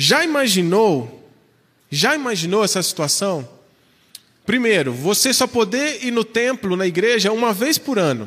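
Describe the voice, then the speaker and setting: This man's voice sits high in pitch and swings very widely up and down. His loudness stays very even. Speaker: pastor. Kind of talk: sermon.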